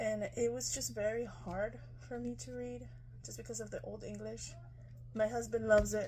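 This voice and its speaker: A woman with a Spanish accent at a moderate pace, long and frequent pauses, big swings in loudness, audible room echo and noticeable background noise. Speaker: lifestyle vlogger. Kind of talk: product review. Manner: casual, hesitant with fillers.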